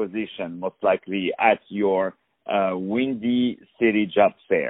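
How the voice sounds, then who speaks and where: A man speaks with a non-native accent. His pace is very slow. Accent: foreign-accented English. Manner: animated.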